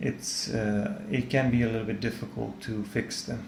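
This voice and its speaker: This man talks fairly slowly, and his voice carries audible echo from the room. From Serbia. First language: Serbian. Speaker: art tutor / artist. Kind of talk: tutorial. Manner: halting, many fillers.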